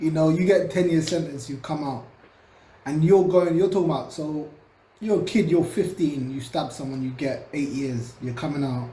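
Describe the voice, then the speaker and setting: In a London accent, a man with a fairly high pitch and a dark, mellow tone speaks at a moderate pace, somewhat breathy, with lively intonation. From London, England. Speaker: social commentator. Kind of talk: casual talk to camera. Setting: home recording, cheap USB microphone.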